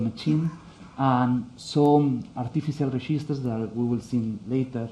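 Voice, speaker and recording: A man speaks at a fairly slow pace with a dark, mellow tone. His pitch is medium, with ordinary variation. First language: Spanish. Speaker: conference speaker. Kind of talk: technical talk. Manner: halting, many fillers.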